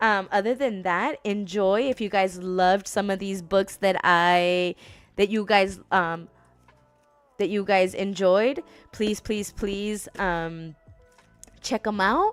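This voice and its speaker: Over music in the background, a woman speaks at a very slow pace with a medium pitch and fairly even intonation. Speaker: book vlogger. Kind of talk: casual talk to camera. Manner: halting, many fillers and restarts.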